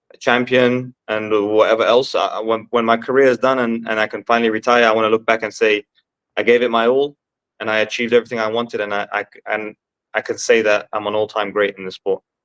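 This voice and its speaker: In a London accent, the speaker rushes at a very fast pace with monotone, flat intonation, the sound dry and close with no echo. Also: man, medium pitch for a man. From London, England. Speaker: MMA fighter. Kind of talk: interview. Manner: halting.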